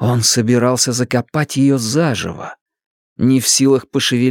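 Quiet background behind a natural reading voice

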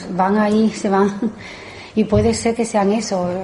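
Audible room echo surrounds a woman whose dark, mellow tone carries fairly even intonation.

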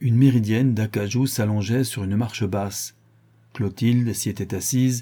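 The speaker reads aloud. The voice stays natural.

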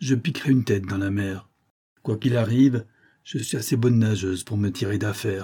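Over a quiet background, the speaker reads in an unforced reading voice, pitch moving in an ordinary way.

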